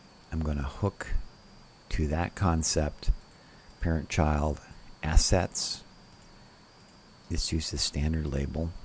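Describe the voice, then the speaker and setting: A man speaks very slowly with a very deep, low pitch and a somewhat breathy quality. His intonation stays fairly even, broken by long, frequent pauses. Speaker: software tutorial presenter. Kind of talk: tutorial.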